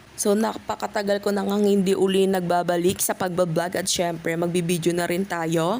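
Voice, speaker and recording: The delivery comes in a plain, everyday voice with ordinary pitch variation, a fairly quick pace and hardly any pauses. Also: woman, fairly low pitch for a woman. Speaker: vlogger. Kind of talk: cooking tutorial. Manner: casual, filler-heavy.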